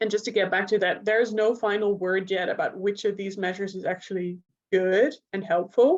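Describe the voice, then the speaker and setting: A woman with a Dutch accent, medium pitch, fairly even intonation and a fairly quick pace. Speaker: neuropsychologist and researcher. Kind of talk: lecture.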